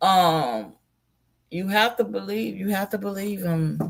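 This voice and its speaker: With an Alabama accent, the speaker moves at a fairly slow pace. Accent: Southern US (Alabama). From US South, Mobile, Alabama. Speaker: live streamer. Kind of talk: casual live stream commentary. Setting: live stream.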